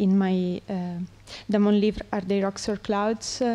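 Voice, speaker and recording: At a very slow pace, a woman of medium pitch speaks with a non-native accent in a dark, mellow tone and a monotone, flat intonation. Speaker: artist. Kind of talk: conference interview. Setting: conference with audience. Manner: halting, many hesitations.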